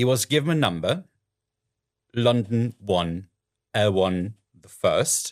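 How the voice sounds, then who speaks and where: Recorded dry and close with no echo against a silent background, a man speaks at a medium pitch with lively intonation on a very clean track. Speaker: podcast host. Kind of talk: podcast intro narration.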